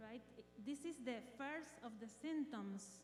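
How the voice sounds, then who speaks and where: A woman with a non-native accent speaks at a fairly slow pace. Noticeable background noise can be heard. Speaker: eye doctor. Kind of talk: health presentation. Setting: community health event with audience. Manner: halting.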